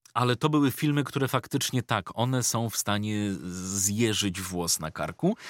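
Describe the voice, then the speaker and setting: A man talks at a moderate pace and a medium pitch with ordinary pitch variation, in an ordinary speaking voice. The sound is dry and close with no echo, in a very clean recording with a silent background. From Poland, Ostrołęka area. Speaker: voice-over artist and YouTuber. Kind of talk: casual interview chat.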